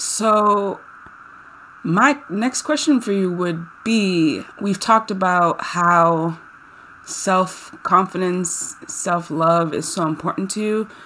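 A very slow woman's voice of medium pitch with ordinary pitch variation, over noticeable background noise. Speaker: podcast host and health coach. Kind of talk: casual interview. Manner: enthusiastic.

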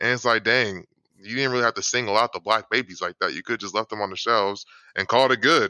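A man talks very fast at medium pitch. His pitch varies in an ordinary way. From Atlanta, Georgia. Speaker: podcast guest. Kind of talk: casual chat.

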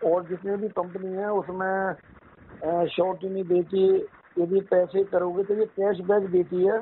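A high-pitched man's voice in a monotone, flat intonation. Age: 60s. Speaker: retired transport worker doing multi-level marketing. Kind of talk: casual phone conversation. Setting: phone call.

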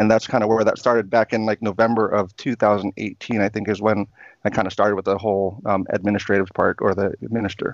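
A man's fairly low, monotone voice at a very fast pace, dry and close with no echo. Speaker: knife YouTuber. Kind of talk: casual chat. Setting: video call.

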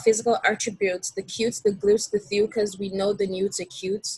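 Somewhat breathy, a woman speaks at a moderate pace and medium pitch, the sound dry and close with no echo. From Nigeria. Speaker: university student. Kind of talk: casual interview. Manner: hesitant, filler-heavy.

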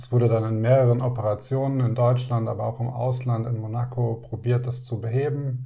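With audible room echo around him, a man speaks in a dark, mellow, somewhat breathy tone and a monotone, flat intonation. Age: 30s. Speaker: heart transplant recipient. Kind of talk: interview.

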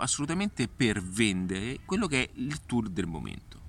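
The man's medium-pitched voice makes very wide pitch swings at a moderate pace. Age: 40s. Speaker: digital marketing consultant. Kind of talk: casual vlog monologue. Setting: outdoors in a park. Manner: halting, many fillers.

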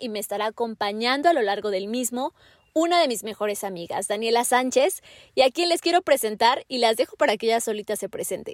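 A woman speaks at a fairly quick pace with a high pitch and lively intonation. The sound is dry and close, with no echo. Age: 20s. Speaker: podcast host and journalist. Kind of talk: casual chat.

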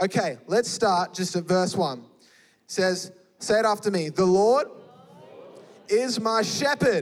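Speaking fairly slowly with long, frequent pauses, a man with an Australian accent keeps very even loudness in a high-pitched, animated tone. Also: lively intonation. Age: 20s. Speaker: youth pastor. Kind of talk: sermon. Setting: church with live audience.

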